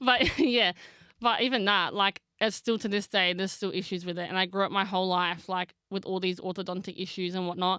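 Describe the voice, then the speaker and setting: In an Australian accent, a woman speaks at medium pitch and a fairly quick pace with fairly even intonation on a very clean recording with a silent background. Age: 20s. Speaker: actress and makeup artist. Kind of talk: casual chat.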